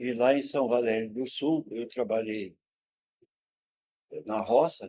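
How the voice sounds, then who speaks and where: A man with medium pitch speaks in a dark, mellow tone at a very slow pace. The sound is dry and close, with no echo. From Rio Grande do Sul, Brazil (rural interior, then Porto Alegre). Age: 70s. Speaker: former political prisoner and sociologist. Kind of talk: interview, life story.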